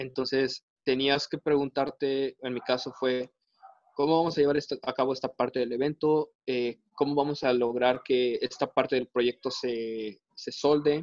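A man talks in a flat monotone. He speaks at a fairly slow pace. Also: medium pitch for a man. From Veracruz, Mexico. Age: 20s. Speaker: mechanical engineer. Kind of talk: casual interview. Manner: hesitant, many fillers.

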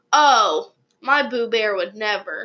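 A woman uses a put-on character voice. It sits at a fairly high pitch. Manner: sugary, affectionate, defensive.

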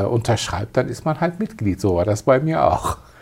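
A man speaks with a dark, mellow tone at a medium pitch. His voice is somewhat breathy. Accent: Turkish. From Turkey, moved to Germany at eleven. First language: Turkish (speaking German). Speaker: advertising agency owner. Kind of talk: interview.

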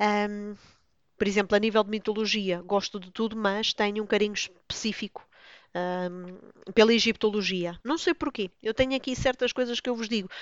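Fairly even intonation at a moderate pace, with big swings in loudness. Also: woman, medium pitch for a woman. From Lisbon, Portugal. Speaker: book blogger, podcaster. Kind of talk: casual solo monologue.

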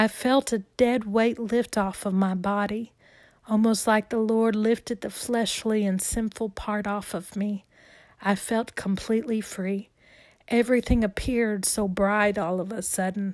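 In a very clean recording with a silent background, a woman with a warm tone and fairly high pitch speaks at a fairly slow pace in a monotone, flat way. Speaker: author and podcaster reading her own book. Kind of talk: reading aloud. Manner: warm, earnest, religious.

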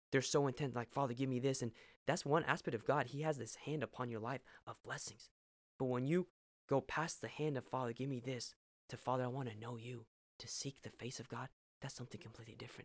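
A man with a medium pitch speaks at a very fast pace in an animated tone with big swings in loudness, on a very clean recording with a silent background. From Peru (Arequipa). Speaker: podcast guest, pastor's son. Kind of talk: faith testimony interview.

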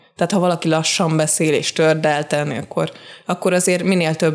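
A woman's very deep, low pitch and monotone, flat intonation over music in the background. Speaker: subtitle translator. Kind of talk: casual interview.

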